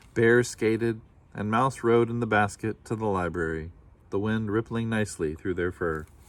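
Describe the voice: Ordinary pitch variation in plain reading aloud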